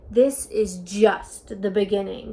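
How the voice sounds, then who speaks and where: Using a put-on character voice, a woman growls at a medium pitch with fairly even intonation. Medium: read story. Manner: cold, haughty.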